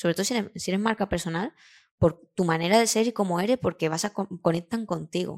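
Very fast in pace, a woman with a medium pitch and ordinary pitch variation is heard on a very clean recording with a silent background and a dry, close sound with no echo. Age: 30s. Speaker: graphic designer and illustrator. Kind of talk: interview. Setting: studio.

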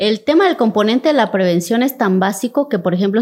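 At a fairly quick pace, a woman speaks in an ordinary speaking voice at medium pitch, captured in a very clean recording with a silent background. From Cintalapa, Chiapas, Mexico. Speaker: state official and human rights lawyer. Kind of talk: interview conversation.

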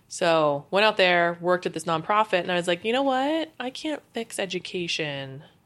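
Hardly any pauses break up this woman's lively intonation in a plain, everyday voice. The recording is very clean, with a silent background. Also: medium pitch for a woman, moderate pace. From Philadelphia, US. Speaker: UX designer. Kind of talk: interview.

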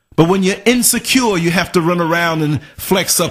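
Speaking at a moderate pace, a man has a high pitch and a New York accent. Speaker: podcast host. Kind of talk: casual chat. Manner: soft-spoken.

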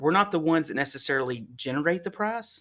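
A man with a Texan accent speaks at a fairly quick pace with ordinary pitch variation, on a very clean recording with a silent background. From North Texas (Sherman). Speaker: fuel distribution executive. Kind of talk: interview.

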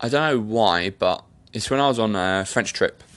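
Against a quiet background, a man with an English accent speaks in a fairly low pitch, his tone animated and his pitch variation ordinary. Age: 30s. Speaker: podcast host. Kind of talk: casual monologue. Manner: rambling, animated.

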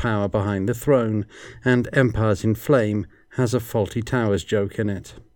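On a very clean recording with a silent background, a man with a fairly low pitch uses an ordinary speaking voice at a moderate pace with fairly even intonation. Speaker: podcast host. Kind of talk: casual podcast commentary and show sign-off. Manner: conversational, analytical.

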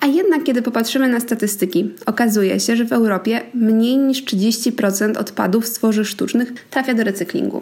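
Fairly high-pitched and somewhat breathy woman's voice at a moderate pace, with ordinary pitch variation. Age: 20s. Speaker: podcast host. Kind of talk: educational monologue.

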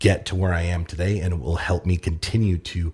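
At a very fast pace, a man speaks in a very deep, low pitch with a dark, mellow, somewhat breathy tone and fairly even intonation. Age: 30s. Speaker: business owner. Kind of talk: interview conversation. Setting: studio.

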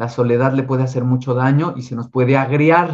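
A man with a Mexico City accent speaks at a moderate pace in a medium pitch, his intonation flat and monotone. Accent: Mexican Spanish (Mexico City). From Mexico City, Mexico. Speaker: tarot reader and esoteric speaker. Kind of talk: casual interview.

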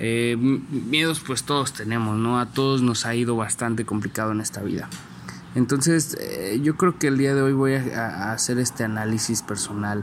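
A man with a Mexican accent talks at medium pitch and a fairly slow pace. His intonation is fairly even, and there is noticeable background noise. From Mexico, San Luis Potosí. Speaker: entrepreneur podcaster. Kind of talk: personal reflection monologue. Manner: halting, many fillers.

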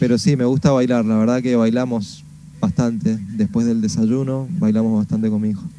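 Medium-pitched male speech at a moderate pace, with ordinary pitch variation and noticeable background noise. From Argentina, Mendoza. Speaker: musician. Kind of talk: radio interview. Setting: video call.

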